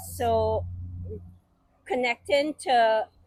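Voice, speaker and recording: A fairly high-voiced woman with a Trinidadian accent and ordinary pitch variation, dry and close with no echo. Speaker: podcast co-host. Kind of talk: casual chat.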